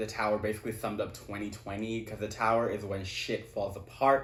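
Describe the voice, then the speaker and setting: A man's voice with audible room echo. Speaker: tarot reader. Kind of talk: tarot reading. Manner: animated.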